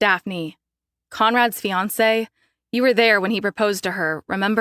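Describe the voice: The background has little sound. Someone reads aloud plainly.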